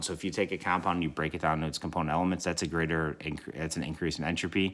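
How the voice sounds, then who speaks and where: A man talks very fast in a very deep, low voice. His tone is bright and sharp, his intonation monotone and flat. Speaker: chemistry teacher. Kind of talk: recorded lesson. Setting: recorded video for students. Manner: casual, filler words.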